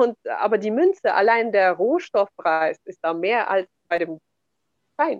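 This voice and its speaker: Speaking at a very slow pace with long, frequent pauses, a woman swings her pitch very widely in a dry, close recording with no echo. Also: fairly high pitch for a woman. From Kazakhstan, German settlement in the Altai region. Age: 30s. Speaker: entrepreneur and real estate investor. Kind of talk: interview conversation.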